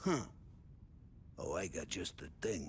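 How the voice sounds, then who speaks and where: Loud and raspy, a man performs a put-on character voice over clear background noise. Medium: video game. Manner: loud, jovial.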